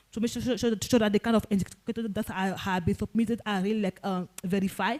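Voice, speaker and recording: A woman's fairly high voice at a very fast pace, with ordinary pitch variation and a dry, close sound with no echo. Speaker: symposium presenter. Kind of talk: conference presentation. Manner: halting.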